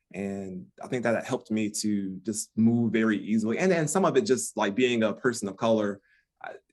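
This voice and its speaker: Talking at a fairly quick pace with an American accent, a man with a plain, everyday voice keeps a medium pitch and ordinary pitch variation. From US Midwest, Detroit. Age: 50s. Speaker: relationship expert. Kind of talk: podcast interview.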